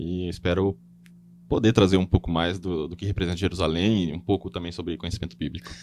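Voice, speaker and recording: A man speaks at a very fast pace in a very deep, low voice with ordinary pitch variation. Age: 20s. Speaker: guest, Bible quiz show winner. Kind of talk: podcast interview.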